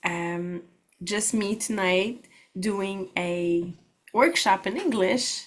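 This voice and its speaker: Speaking at a very slow pace with ordinary pitch variation, a woman talks in a Quebec accent. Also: medium pitch for a woman. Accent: Québécois French accent in English. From Quebec, Canada. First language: French. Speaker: holistic practitioner and network marketer. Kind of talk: workshop presentation.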